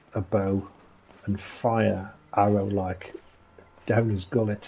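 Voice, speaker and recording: Against noticeable background noise, a man with a fairly low pitch speaks at a very slow pace in a monotone, flat intonation. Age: 40s. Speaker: gaming video creator. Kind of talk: casual gameplay commentary. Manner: soft-spoken.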